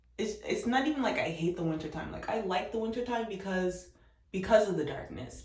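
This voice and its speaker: Soft-spoken, a woman talks with ordinary pitch variation amid audible room echo. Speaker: vlogger. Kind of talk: casual chat.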